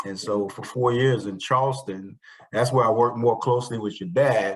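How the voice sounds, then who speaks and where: With an American accent, a man talks at a moderate pace and medium pitch, his intonation fairly even but his loudness swinging widely. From Brooklyn, New York. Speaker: insurance agent. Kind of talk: interview.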